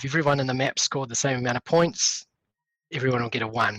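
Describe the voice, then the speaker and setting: A man with a plain, everyday voice speaks at a fairly high pitch with ordinary pitch variation, in a dry, close sound with no echo. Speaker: esports commentator. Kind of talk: awards announcement.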